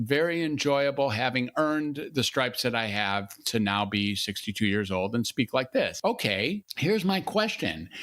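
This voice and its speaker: An ordinary speaking voice from a man, fairly high in pitch, with lively intonation at a moderate pace on a very clean recording with a silent background. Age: 60s. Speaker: psychiatrist and podcast host. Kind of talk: interview conversation.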